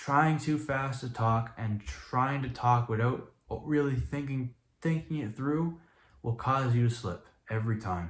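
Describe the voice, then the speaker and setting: Somewhat breathy, a man speaks fairly slowly at a medium pitch with ordinary pitch variation. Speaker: YouTuber. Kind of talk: vlog monologue to camera. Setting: talking in front of camera.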